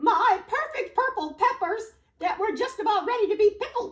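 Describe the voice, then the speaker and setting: A put-on character voice, female-sounding and squeaky, comes at an extremely high pitch and a moderate pace. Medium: read story. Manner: flustered, repetitive.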